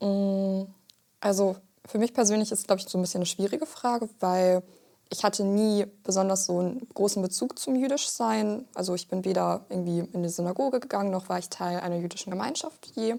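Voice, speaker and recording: Speaking fairly quickly, a woman uses a medium pitch and a dark, mellow tone with ordinary pitch variation. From Germany. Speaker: physics student. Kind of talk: casual chat.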